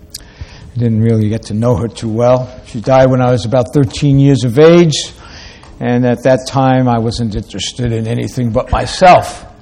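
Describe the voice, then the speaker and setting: A man at a moderate pace with fairly even intonation, noticeable background noise behind him. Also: medium pitch for a man. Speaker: preacher. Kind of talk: sermon.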